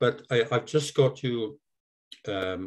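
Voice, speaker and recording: A man with a Welsh accent speaks fairly slowly, with ordinary pitch variation. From South Wales. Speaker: seal conservation volunteer presenter. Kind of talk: online presentation. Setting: video call. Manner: halting.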